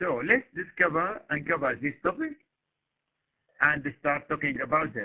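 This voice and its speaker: A man with a fairly high pitch speaks with long, frequent pauses. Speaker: university lecturer. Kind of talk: lecture. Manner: slow; halting.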